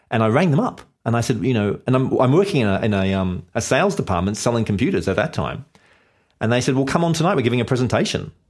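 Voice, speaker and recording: On a very clean recording with a silent background, a man with an Australian accent speaks very fast at a medium pitch, his pitch swinging very widely while his loudness stays very even. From Australia, Sydney / Blue Mountains. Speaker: web entrepreneur. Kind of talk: podcast interview.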